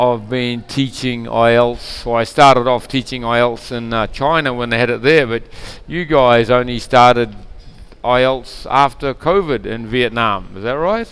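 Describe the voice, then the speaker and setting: With a New Zealand accent, a man speaks in big swings of loudness. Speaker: English teacher. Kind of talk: online language lesson.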